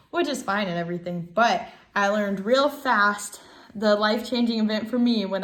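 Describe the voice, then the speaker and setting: The speaker has an American accent and ordinary pitch variation. The pace is moderate. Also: woman. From Ohio, US Midwest. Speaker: navy sailor and student. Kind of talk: self-introduction video. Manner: casual with many fillers.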